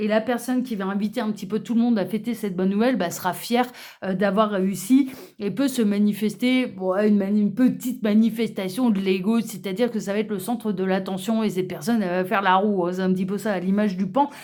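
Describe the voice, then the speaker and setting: Fairly even in intonation, a woman talks at a very fast pace. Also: medium pitch for a woman. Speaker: tarot card reader. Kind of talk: card reading presentation. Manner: hesitant, many fillers.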